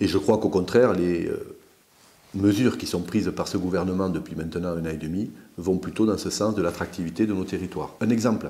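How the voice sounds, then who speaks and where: A man with an Aveyron accent speaks at a fairly quick pace in a very deep, low pitch, his tone dark and mellow with ordinary pitch variation. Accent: southern French (Aveyron). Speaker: politician. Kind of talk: video Q&A address. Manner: hesitant, many fillers.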